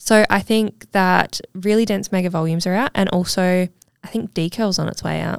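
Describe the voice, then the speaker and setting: Recorded with a dry, close sound and no echo, a woman speaks at a moderate pace with medium pitch and fairly even intonation. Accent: Australian. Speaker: lash technician and podcast host. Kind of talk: casual chat.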